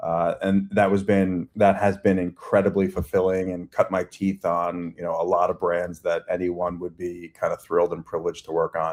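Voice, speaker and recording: A man with an American accent speaks at a moderate pace. He hardly pauses at all. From Long Island, New York. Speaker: agency CEO. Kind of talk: interview conversation.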